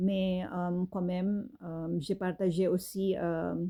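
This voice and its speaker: Her voice is dark and mellow, at a medium pitch for a woman. She speaks very slowly in a monotone, flat delivery. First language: not French (speaking French). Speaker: fashion designer and author. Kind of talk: casual monologue. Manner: halting, many fillers.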